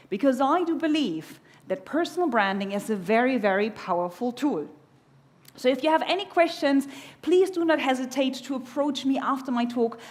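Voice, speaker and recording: A woman with a German accent talks at a moderate pace in a high, animated voice with very wide pitch swings, and audible room echo is present. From Germany. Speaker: keynote speaker. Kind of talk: conference keynote. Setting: stage with audience.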